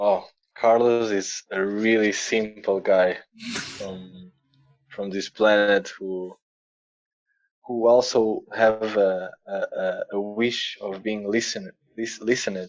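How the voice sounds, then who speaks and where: A man with a non-native accent and fairly low pitch talks at a very slow pace in a monotone, flat intonation with long, frequent pauses. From Portugal. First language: Portuguese. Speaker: musician and sound healer. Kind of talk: interview podcast. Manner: halting, repeating words.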